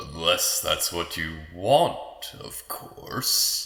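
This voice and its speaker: A man uses a put-on character voice at a very slow pace. There is a slight echo. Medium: audio drama. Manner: cold, mocking.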